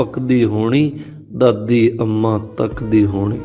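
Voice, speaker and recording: A man is speaking. Music plays in the background. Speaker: poetry reciter. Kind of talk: poetry reading.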